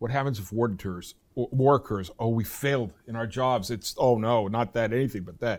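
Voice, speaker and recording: An American-accented man's plain, everyday voice at medium pitch and a fairly quick pace, with ordinary pitch variation, in a very clean recording over a silent background. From US East Coast. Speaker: professor. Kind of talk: interview.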